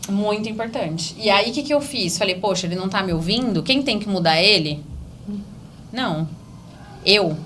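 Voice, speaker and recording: A woman's medium-pitched voice has lively intonation and an animated tone, with long, frequent pauses. Audible room echo and noticeable background noise surround it. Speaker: real estate broker and mentor. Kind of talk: podcast interview. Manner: fast.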